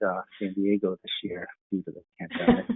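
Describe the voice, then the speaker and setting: The speaker has a Boston accent and keeps a moderate pace. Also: man. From greater Boston area. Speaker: medical staffing executive. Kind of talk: panel discussion.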